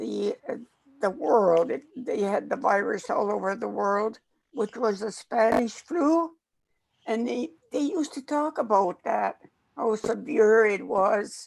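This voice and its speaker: A woman's fairly high voice, fairly slow, with lively intonation and vocal fry. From northern Saskatchewan, Canada. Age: 80s+. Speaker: elder and chef. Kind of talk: storytelling. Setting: pre-recorded conversation.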